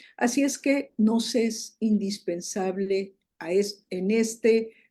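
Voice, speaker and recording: Fairly even intonation marks this somewhat breathy voice with a dark, mellow tone. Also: woman. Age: 60s. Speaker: prophet and show host. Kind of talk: panel discussion.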